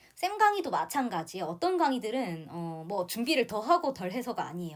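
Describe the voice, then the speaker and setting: Her pitch is fairly high and swings very widely as this woman speaks at a fairly quick pace. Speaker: tarot teacher. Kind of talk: lecture. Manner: unscripted with fillers.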